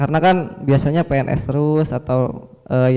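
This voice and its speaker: This man speaks with a Sundanese accent. His pitch is fairly high. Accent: Sundanese accent, audible. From West Java (Sukabumi, Sundanese). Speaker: fisheries extension officer, presenter. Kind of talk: workshop presentation.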